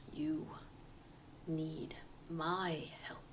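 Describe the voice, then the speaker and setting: Someone whispers in a put-on character voice. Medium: actual play. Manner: terse, bitter.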